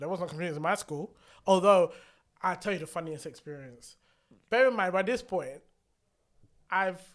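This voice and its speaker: In a British accent, the speaker moves at a moderate pace with an animated tone, ordinary pitch variation, and long, frequent pauses, captured on a very clean recording with a silent background. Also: man, high pitch for a man. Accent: British accent, kept. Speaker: podcast co-host. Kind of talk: casual chat.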